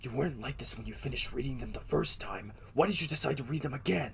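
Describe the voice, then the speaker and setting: A man puts on a character voice and rattles along at a very fast pace. Clear background noise can be heard. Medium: audio drama.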